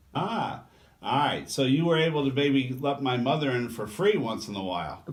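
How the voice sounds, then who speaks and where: Noticeable background noise sits behind a man talking at a moderate pace. His voice is medium-pitched, with lively intonation. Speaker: TV host interviewer. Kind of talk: interview questions, casual conversational.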